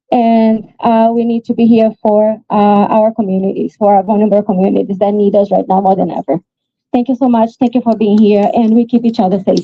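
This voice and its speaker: The voice is somewhat breathy, with fairly even intonation, very even loudness and a fairly quick pace. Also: woman. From Brazil. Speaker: nonprofit board president. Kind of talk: speech at a vigil.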